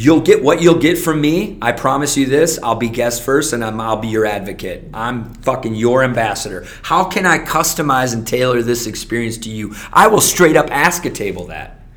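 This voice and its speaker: Against noticeable background noise, a man speaks at a medium pitch with lively intonation. He keeps a moderate pace with hardly any pauses. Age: 40s. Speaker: restaurant industry veteran. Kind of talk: casual chat.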